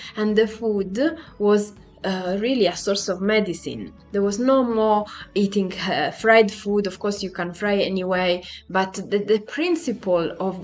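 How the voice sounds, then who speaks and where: Music plays behind a woman who speaks fairly slowly at a medium pitch, keeping her intonation fairly even. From Italy. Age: 40s. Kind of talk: personal vlog talk to camera.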